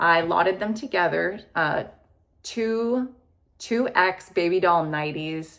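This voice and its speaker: A woman's normal speaking voice, fairly low in pitch, with lively intonation. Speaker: clothing reseller, video blogger. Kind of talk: casual monologue video.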